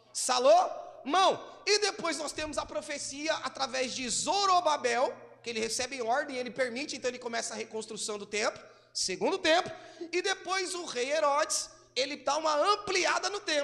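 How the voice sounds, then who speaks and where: A man with an extremely high pitch and lively intonation, over noticeable background noise. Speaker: pastor. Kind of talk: sermon. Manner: fast.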